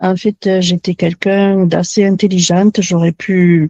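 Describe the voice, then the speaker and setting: A woman's medium-pitched voice with a dark, mellow tone, recorded dry and close with no echo. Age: 70s. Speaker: interviewee giving testimony. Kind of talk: testimony. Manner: halting.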